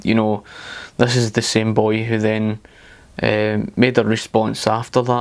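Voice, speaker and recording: In a Scottish accent, a man speaks at a fairly low pitch and a fairly slow pace. His intonation is monotone and flat. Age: 30s. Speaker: political commentator. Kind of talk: video commentary. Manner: hesitant, many fillers.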